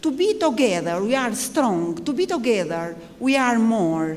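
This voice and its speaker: A woman speaks at a fairly slow pace, her pitch swinging very widely. Noticeable background noise and audible room echo fill the recording. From Albania. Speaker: army general. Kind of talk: panel speech. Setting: conference panel. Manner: halting.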